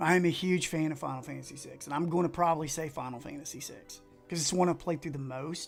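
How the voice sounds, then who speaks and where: A man speaks very fast with an Appalachian accent, at a fairly high pitch and with fairly even intonation. Music plays in the background. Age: middle-aged. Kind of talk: casual livestream talk.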